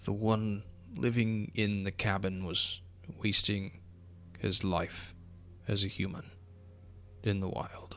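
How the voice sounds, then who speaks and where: A put-on character voice moves at a fairly slow pace with long, frequent pauses, clear background noise behind it. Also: man, fairly low pitch for a man. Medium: actual play. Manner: polite, formal, archaic phrasing.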